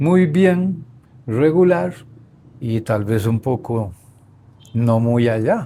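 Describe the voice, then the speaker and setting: This man speaks in a dark, mellow tone with very wide pitch swings. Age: old. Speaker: grandfather, former sportsman. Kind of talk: interview answer. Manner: hesitant, reflective.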